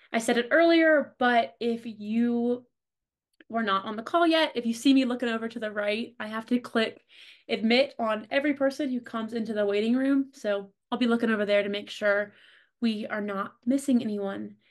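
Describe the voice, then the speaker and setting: A woman speaks in a normal speaking voice at a fairly high pitch, with ordinary pitch variation and a moderate pace. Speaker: marketing lead hosting a career workshop. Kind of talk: online workshop presentation. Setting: video call.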